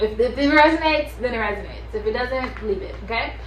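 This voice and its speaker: A woman's fairly quick speech with fairly even intonation and audible room echo. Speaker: tarot reader. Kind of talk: tarot reading to camera. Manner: casual, chatty.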